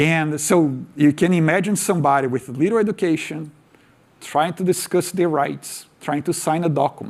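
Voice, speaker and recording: Heard on a very clean recording with a silent background, a man with a Portuguese accent and a fairly high pitch speaks at a moderate pace with ordinary pitch variation. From Brazil. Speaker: tech speaker. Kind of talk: conference talk.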